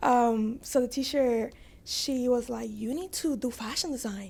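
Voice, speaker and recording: A woman speaks in a high voice. Her tone is dark and mellow. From Dominican Republic, then Bronx, New York. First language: Spanish. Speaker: fashion designer. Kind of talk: podcast interview, personal story.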